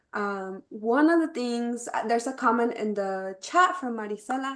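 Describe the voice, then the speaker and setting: Here is a woman with an unremarkable speaking voice, fairly high in pitch. She talks at a moderate pace. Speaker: webinar moderator. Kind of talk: panel webinar discussion.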